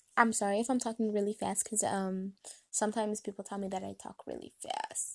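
Vocal fry runs through a woman's voice as she speaks with little pitch movement.

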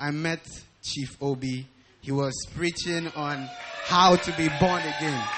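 A man is talking. Noticeable background noise can be heard behind him. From Nigeria, Calabar. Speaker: church member giving testimony. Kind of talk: testimony. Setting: church.

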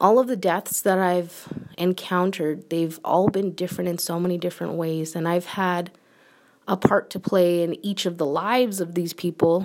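A woman with an ordinary speaking voice and an American accent talks at a moderate pace and fairly low pitch with fairly even intonation, in a very clean recording with a silent background. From United States. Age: 30s. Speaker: podcast host. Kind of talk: personal monologue.

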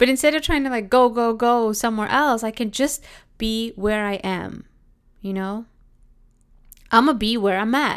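Over a silent background in a very clean recording, a woman talks at a moderate pace with ordinary pitch variation. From England, then Canada. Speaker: podcast host and trained counselor. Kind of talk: casual solo podcast monologue. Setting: home, recording at a window. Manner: halting, stumbling over words.

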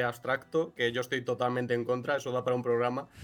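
The speech has monotone, flat intonation over noticeable background noise. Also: man. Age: 20s. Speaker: cartoonist and illustrator. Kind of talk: interview.

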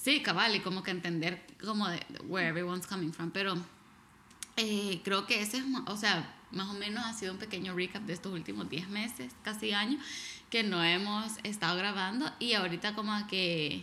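A woman speaks at a moderate pace in a medium pitch, her bright, sharp tone carrying ordinary pitch variation. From El Salvador. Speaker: podcast co-host. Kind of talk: casual chat. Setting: living room at home.

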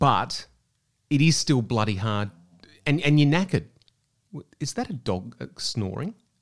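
A man speaks with an Australian accent at medium pitch. His pitch swings very widely, with long, frequent pauses. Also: moderate pace. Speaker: podcast host. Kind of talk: casual chat.

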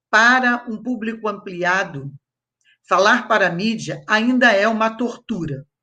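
A woman speaks at a very slow pace with a fairly high pitch and a bright, sharp tone. Her intonation is lively, and the background is quiet. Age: 60s. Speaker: historian and professor. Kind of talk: panel discussion.

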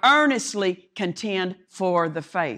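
In a very clean recording with a silent background, a woman speaks at a medium pitch with an animated tone and very wide pitch swings. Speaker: guest preacher. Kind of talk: sermon. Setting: church. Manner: loud.

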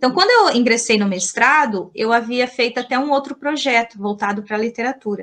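A woman's high-pitched voice in a strong São Paulo interior accent, with ordinary pitch variation at a moderate pace. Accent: strong caipira accent with retroflex R. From Mato Grosso, Brazil (Colíder). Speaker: language teacher. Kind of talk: interview. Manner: hesitant, many fillers.

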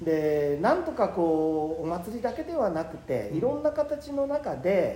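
With very wide pitch swings and hardly any pauses, a man talks at a fairly slow pace in a high voice. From Nagano, Japan (Takato, then Kiso). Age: 60s. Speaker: company president, pickle maker. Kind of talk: casual interview.

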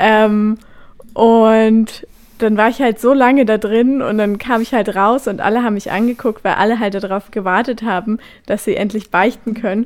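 A woman with a normal speaking voice and fairly high pitch. Her intonation is fairly even at a moderate pace. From Brandenburg, Germany (Nauen). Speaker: radio host. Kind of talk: casual chat.

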